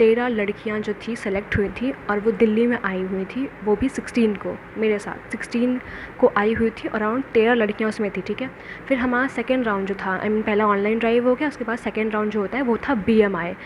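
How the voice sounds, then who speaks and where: A woman with a fairly high voice speaks at a moderate pace with hardly any pauses. Her intonation stays fairly even, and there is noticeable background noise. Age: 20s. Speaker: cabin crew job candidate / vlogger. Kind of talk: casual vlog, interview experience recount.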